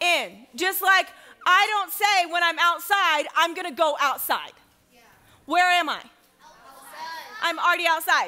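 Raised, projected female voice over crowd noise in the background, with fairly even intonation and a moderate pace. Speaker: pastor. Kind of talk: sermon. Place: church.

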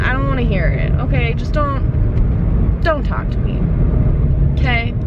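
A woman in a dry sound with no echo, against loud background noise. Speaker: vlogger. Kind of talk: casual vlog chat. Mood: annoyed ranting. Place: car. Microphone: phone near.

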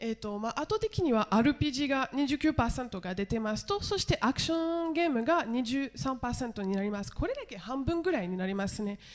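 A woman with a French accent speaks at a moderate pace. Her high voice swings very widely in pitch. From France. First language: French (speaking Japanese). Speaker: TV journalist and director; conference panelist. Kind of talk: conference panel discussion. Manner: halting, many fillers. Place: hall. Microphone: handheld.

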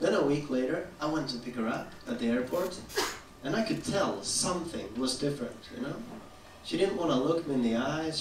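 Speaking fairly quickly with a Swedish accent, a man uses a fairly high pitch and lively intonation amid audible room echo and light background noise. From Sweden. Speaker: stand-up comedian. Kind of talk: stand-up comedy set. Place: stage.

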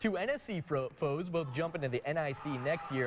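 The speech comes at a moderate pace with an American accent. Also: man. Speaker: sports reporter. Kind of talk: live-style sports highlights commentary over game footage. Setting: studio. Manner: animated, punchy, upbeat.

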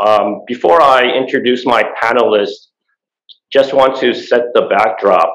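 Over quiet surroundings, a man speaks at a fairly slow pace. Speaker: panel moderator. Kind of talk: moderated panel introduction. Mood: formal, measured. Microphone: video call.

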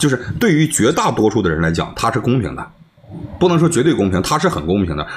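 Speech in a Northeastern Chinese accent rushes at a very fast pace with very wide pitch swings, over light background noise. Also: man. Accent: Northeastern Mandarin. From Northeast China. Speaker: livestreamer. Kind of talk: heated debate. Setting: video call. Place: home room.

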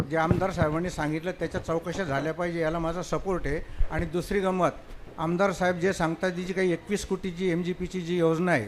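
A man speaks in a high, flat monotone over noticeable background noise. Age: 70s. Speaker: village deputy head. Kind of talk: public complaint. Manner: formal.

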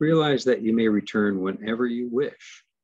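A man's ordinary speaking voice at medium pitch, with ordinary pitch variation. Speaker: mindfulness teacher. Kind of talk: guided meditation and webinar teaching. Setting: video call webinar. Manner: calm, slow, soothing guided-meditation delivery.

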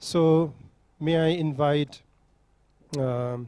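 The man's voice sits at a medium pitch with a dark, mellow tone and fairly even intonation. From Nepal. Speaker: panel moderator. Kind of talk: moderating a conference panel. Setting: conference hall with audience. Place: hall. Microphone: handheld.

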